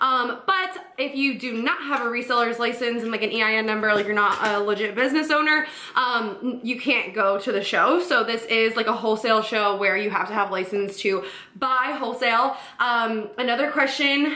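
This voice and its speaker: In a room with audible echo, a woman speaks at a moderate pace with ordinary pitch variation. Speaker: boutique owner vlogger. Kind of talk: casual vlog chat. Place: home room.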